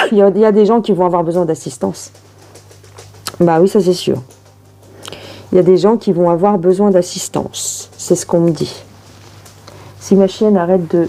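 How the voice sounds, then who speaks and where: With a strong Parisian accent, a woman speaks at a medium pitch and a moderate pace, using fairly even intonation and long, frequent pauses while music plays in the background. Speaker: tarot reader. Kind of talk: tarot reading video. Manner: casual, chatty.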